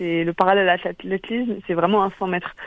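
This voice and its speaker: Her tone sits at a medium pitch. This woman's intonation is monotone and flat. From Brittany, Quimper (Finistère). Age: 30s. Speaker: elite fencer. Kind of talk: radio interview. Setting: phone call.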